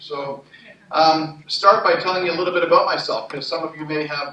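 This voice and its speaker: A man in a Montreal accent speaks at a fairly high pitch, with noticeable background noise and audible room echo. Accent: Canadian English, Montreal. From Canada, Montreal. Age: 60s. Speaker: entrepreneur and conference speaker. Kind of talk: personal testimony talk at a conference. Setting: conference stage with audience. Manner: hesitant, many fillers.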